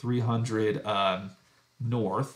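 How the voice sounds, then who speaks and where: A man speaks with an American accent in a medium pitch. His voice is somewhat breathy. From US, Idaho. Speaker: math professor.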